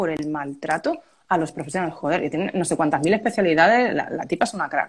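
This woman's voice sits fairly low in pitch. She talks at a very fast pace. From Málaga, Andalusia, Spain. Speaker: copywriter. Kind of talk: casual chat.

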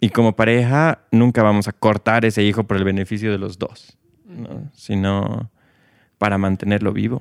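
Dry and close with no echo, the clip has a man speaking at a moderate pace in an unremarkable speaking voice, fairly low in pitch with fairly even intonation. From Bolivia. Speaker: guest, LGBT project co-founder. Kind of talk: casual interview chat.

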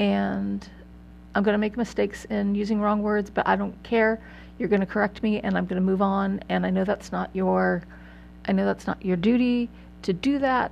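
At a moderate pace, the voice keeps a very even loudness against a quiet background. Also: woman. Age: 40s. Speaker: podcast host. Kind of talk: casual monologue. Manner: halting.

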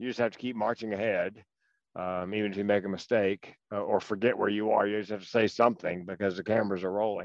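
A man in a Southern US accent talks at a fairly quick pace with ordinary pitch variation. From North Carolina. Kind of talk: casual political interview chat. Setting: phone call.

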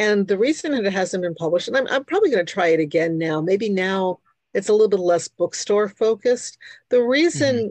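A woman speaks at a medium pitch and a fairly quick pace, with lively intonation. The sound is dry and close, with no echo. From New York City, Queens. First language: Hungarian. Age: 60s. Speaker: author and tarot reader. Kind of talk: interview, conversational.

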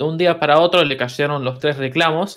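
A man with an Argentine accent and a fairly high pitch shows ordinary pitch variation on a very clean recording with a silent background. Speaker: musician. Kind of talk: casual chat.

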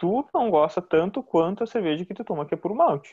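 A man talks at a moderate pace with very wide pitch swings. He has a southern Brazilian accent. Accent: southern Brazilian (gaúcho) Portuguese. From Rio Grande do Sul, Brazil (Novo Hamburgo). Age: 30s. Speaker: food engineer and brewer. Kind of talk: casual interview.

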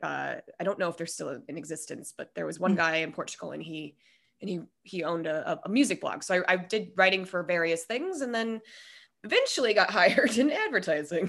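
Against a quiet background, a woman with an American accent talks at a fairly quick pace in a medium pitch, with lively intonation and vocal fry. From US West, Colorado. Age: 30s. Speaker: podcast host. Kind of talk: casual interview chat. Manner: rambling, many fillers.

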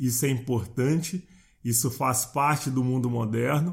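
On a very clean recording with a silent background, a man speaks at a medium pitch with ordinary pitch variation and a somewhat breathy quality. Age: 60s. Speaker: podcast host, personal development coach. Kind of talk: motivational monologue.

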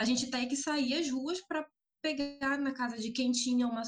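Her pitch high and varying in an ordinary way, a woman is talking. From Amapá, northern Brazil. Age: 20s. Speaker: environmental activist and psychology student. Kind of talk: casual interview.

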